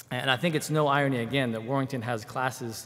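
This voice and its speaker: The intonation stays fairly even. The pace is moderate. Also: man. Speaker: church member giving testimony, military. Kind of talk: testimony. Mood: warm, grateful. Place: church. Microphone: podium.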